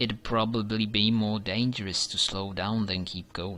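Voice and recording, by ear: Natural voice, reading aloud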